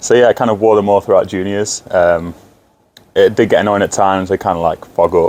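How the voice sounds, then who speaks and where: A man with a Lincolnshire accent talks at a fairly quick pace. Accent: northern English (Lincolnshire). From northern England, Grimsby. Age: 20s. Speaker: ice hockey player. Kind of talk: interview. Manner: hesitant, many fillers.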